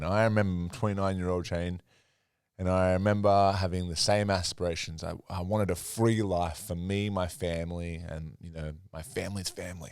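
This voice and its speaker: Recorded very cleanly against a silent background, a man with an Australian accent speaks at a very deep, low pitch with fairly even intonation. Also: moderate pace, big swings in loudness. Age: 30s. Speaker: podcast host. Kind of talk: podcast interview.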